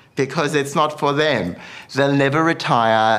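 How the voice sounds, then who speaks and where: A speaker with an Australian accent talks at a moderate pace with lively intonation. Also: man. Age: 50s. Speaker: bridal wear designer. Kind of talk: casual chat.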